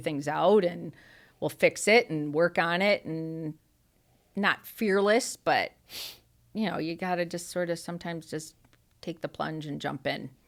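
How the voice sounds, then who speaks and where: With an American accent, a woman speaks at a fairly low pitch and a fairly slow pace, using ordinary pitch variation and long, frequent pauses, in a very clean recording with a silent background. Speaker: farmer and store owner. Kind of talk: interview answer.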